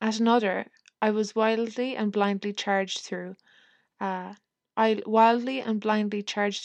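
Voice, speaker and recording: In an Irish accent, a woman delivers a dramatic tone at a medium pitch with monotone, flat intonation, recorded dry and close with no echo against a quiet background. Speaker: podcast host. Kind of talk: period letter reading; casual chat. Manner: measured, expressive reading, slight dramatic tone for the letter writer; casual, chatty, self-deprecating.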